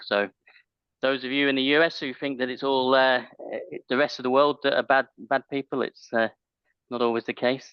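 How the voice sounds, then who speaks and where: At a fairly quick pace, a man of medium pitch talks with a British accent. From UK. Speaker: IT managed service provider. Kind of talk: casual chat.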